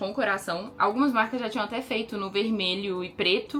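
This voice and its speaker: Over noticeable background noise, a woman with a medium-pitched voice speaks in an animated tone at a fairly quick pace, with ordinary pitch variation. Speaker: lingerie designer and brand owner. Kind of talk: casual vlog. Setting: at home in closet. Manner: fast.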